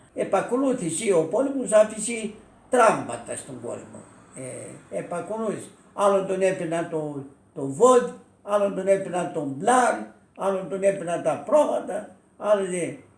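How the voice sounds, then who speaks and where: A high-pitched man with lively intonation at a fairly slow pace, plus noticeable background noise and audible room echo. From Thessaly, Greece (Elassona area). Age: 80s+. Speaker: war witness. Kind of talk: oral history interview. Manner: halting, with many repetitions.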